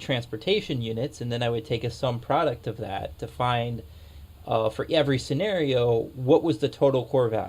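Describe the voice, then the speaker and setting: A man speaks at medium pitch and a moderate pace. His pitch varies in an ordinary way. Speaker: gaming video creator. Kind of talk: gameplay commentary with data walkthrough. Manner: loud; hesitant, many fillers.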